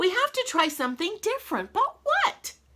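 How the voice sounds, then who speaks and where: Putting on a squeaky character voice, a woman speaks at a moderate pace with extremely high pitch and very wide pitch swings. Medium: read story.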